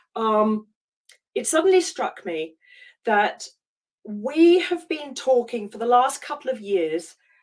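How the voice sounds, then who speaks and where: Very wide pitch swings at a very slow pace. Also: woman. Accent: British. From UK. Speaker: life coach. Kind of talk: online masterclass talk. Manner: halting, many fillers.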